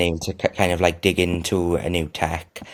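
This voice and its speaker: With a South Wales accent, a man speaks in a very deep, low, monotone voice on a very clean recording with a silent background. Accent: Welsh (South Wales). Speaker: freelance tech journalist. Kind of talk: interview. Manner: halting, many fillers and repetitions.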